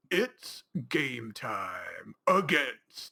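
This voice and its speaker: A man performs in a put-on character voice. The sound is dry and close, with no echo. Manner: corny, over the top.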